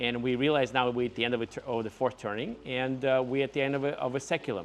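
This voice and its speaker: Noticeable background noise runs under this recording. A man with a non-native accent speaks at a fairly quick pace and medium pitch. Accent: foreign. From Ukraine. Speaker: entrepreneur. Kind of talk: casual talk to camera.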